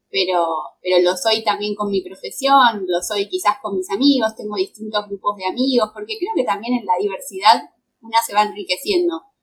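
Lively intonation at a moderate pace, in a Rioplatense accent. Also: woman. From Argentina, Greater Buenos Aires. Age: 20s. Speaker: fashion designer. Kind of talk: casual interview chat.

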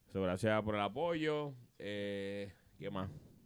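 A fairly low male voice comes across on a very clean recording, the background totally silent. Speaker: podcast host. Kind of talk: casual chat.

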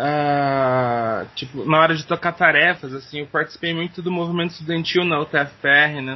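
A man's fairly high voice at a moderate pace, with fairly even intonation and hardly any pauses. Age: 20s. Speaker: teacher and podcaster. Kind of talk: interview. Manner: halting.

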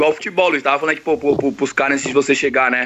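A man is speaking. His pitch is fairly high. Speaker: teacher. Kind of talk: casual chat.

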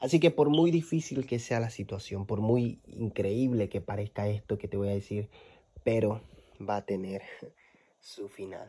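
At a fairly slow pace, a man speaks in a somewhat breathy, dark, mellow voice of fairly low pitch with ordinary pitch variation, on a very clean recording with a silent background. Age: 20s. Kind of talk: devotional monologue.

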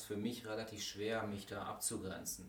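Moderate-paced, fairly low male speech with audible room echo. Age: 40s. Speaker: vocational school teacher. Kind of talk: casual interview.

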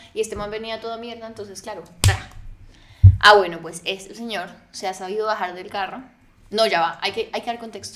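A woman talks fairly quickly at a medium pitch, her tone bright and sharp. Her intonation stays fairly even while her loudness swings widely. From Colombia, Neiva (Huila). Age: 20s. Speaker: podcast guest. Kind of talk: casual chat.

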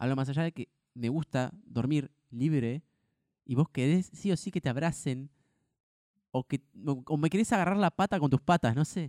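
A man with an Argentine accent speaks at a moderate pace in a dark, mellow, fairly high voice with ordinary pitch variation and long, frequent pauses, on a very clean recording with a silent background. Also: dry, close sound with no echo. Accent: Rioplatense Argentine Spanish. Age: 20s. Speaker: podcast co-host. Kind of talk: casual chat.

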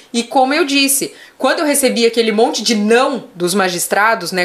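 At a moderate pace, a woman with a fairly high pitch and ordinary pitch variation talks over noticeable background noise. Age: 30s. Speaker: animal rights lawyer. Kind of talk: casual interview chat.

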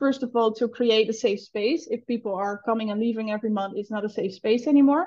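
A woman with a Dutch accent talks very fast, with hardly any pauses, at a fairly high pitch and with ordinary pitch variation. Her tone is dark and mellow and somewhat breathy, against a quiet background. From the Netherlands. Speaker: founder of an entrepreneur community, entrepreneur. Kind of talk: casual interview chat. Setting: video call, remote from Bali.

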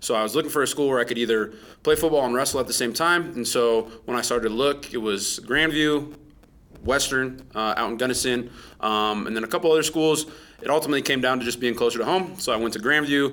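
Speaking at a very fast pace, a man uses a medium pitch. His pitch variation is ordinary. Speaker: high school wrestling coach. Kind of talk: interview.

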